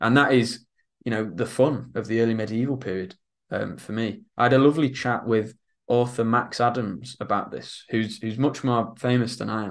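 With a Lincolnshire accent, a man talks in fairly even intonation against a quiet background. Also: moderate pace. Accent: northern English (Lincolnshire). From northern England, Isle of Axholme, north Lincolnshire; northern England. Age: young. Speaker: author and historian; interviewee. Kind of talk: interview. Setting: studio, in person. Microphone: video call.

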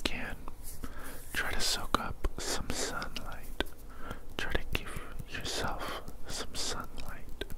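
Loud background noise accompanies a man's voice. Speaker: ASMR creator. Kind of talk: ASMR caring friend roleplay. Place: home room. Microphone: studio mic.

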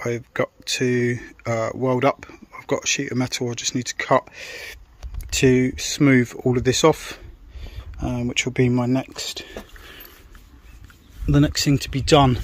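A man speaks fairly slowly at medium pitch, with little pitch movement. Long pauses come often.

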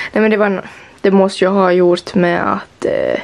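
A woman with a Finland-Swedish accent at a moderate pace. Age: young. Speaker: vlogger. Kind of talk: vlog. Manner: animated. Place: home room.

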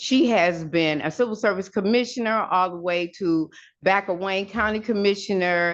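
A woman with an American accent at a medium pitch, fairly slow pace and ordinary pitch variation, over a quiet background. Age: 60s. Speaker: resident speaking at public comment. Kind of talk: public comment at council meeting. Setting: city council meeting.

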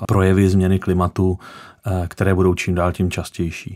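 A man speaks at a moderate pace in a very deep, low pitch. The background is quiet. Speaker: guest. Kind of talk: interview answer. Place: studio.

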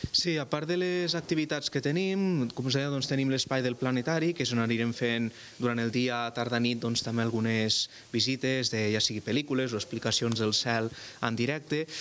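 Against light background noise, a man with a normal speaking voice talks at a moderate pace and medium pitch, with ordinary pitch variation and very even loudness. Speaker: astronomy centre guide. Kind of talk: interview. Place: hall. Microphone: handheld.

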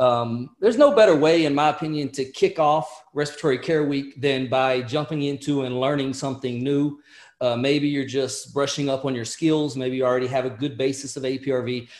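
A man talks at a moderate pace with hardly any pauses and fairly even intonation. The background is quiet, but audible room echo is present. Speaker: respiratory therapy educator. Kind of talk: lecture. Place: home room. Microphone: webcam.

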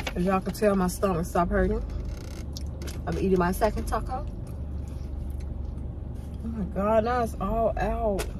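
Delivered at a fairly slow pace with fairly even intonation, this speech has long, frequent pauses over clear background noise. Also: woman, medium pitch for a woman.

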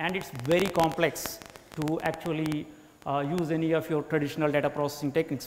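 A man's very fast speech at a fairly high pitch, flat and monotone, over light background noise. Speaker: bioinformatics lead at a data company. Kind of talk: lecture. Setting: lecture hall with live audience. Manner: halting, frequent fillers. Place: classroom. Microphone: lapel.

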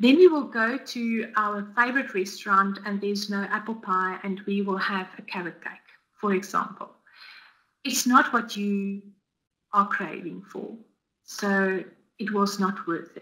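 With a South African accent, a woman speaks at a fairly slow pace in a bright, sharp tone, with fairly even intonation, big swings in loudness, and long, frequent pauses against a quiet background. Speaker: dietitian; guest. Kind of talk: webinar presentation. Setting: online webinar. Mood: warm, earnest. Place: home room.

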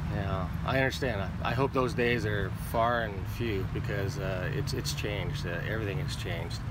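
Over loud background noise, a man with an American accent speaks with lively intonation in a dry sound with no echo. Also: fairly low pitch for a man, moderate pace, hardly any pauses. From Pasadena, California; California. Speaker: police officer. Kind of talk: casual interview. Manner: halting, many repeated words. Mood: calm, reflective. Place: open country. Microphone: phone near.

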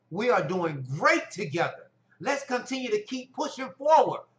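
Fairly slow delivery with audible room echo. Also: man. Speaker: health motivation vlogger. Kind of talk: motivational vlog talk. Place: home room. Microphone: phone near.

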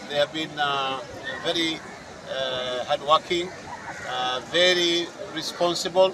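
Crowd noise fills the background. Over it, a man talks with fairly even intonation. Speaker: local politician. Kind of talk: interview answer. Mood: relaxed, smiling. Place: open country. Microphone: handheld.

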